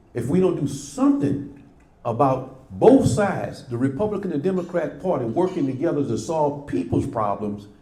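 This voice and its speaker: A man's somewhat breathy voice, dark and mellow in tone, with lively intonation at a moderate pace and audible room echo. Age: 70s. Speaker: former local politician. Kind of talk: prepared remarks at a press club. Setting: press club event with audience. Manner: emphatic, impassioned.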